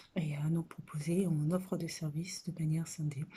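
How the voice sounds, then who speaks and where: A woman's fairly slow, somewhat breathy voice, dark and mellow in tone, with monotone, flat intonation. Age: 30s. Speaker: social worker seeking a job. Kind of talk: video self-presentation. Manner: halting, many hesitations.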